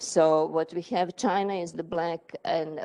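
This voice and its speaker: Over a quiet background, a woman with a fairly low pitch and dark, mellow tone speaks with fairly even intonation in a dry, close sound with no echo. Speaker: economist lecturer. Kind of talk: lecture. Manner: halting, many fillers and repetitions.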